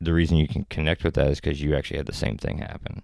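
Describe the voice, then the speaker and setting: Very deep, low male voice on a very clean recording, the background silent. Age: 30s. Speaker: actor and filmmaker. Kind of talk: casual chat.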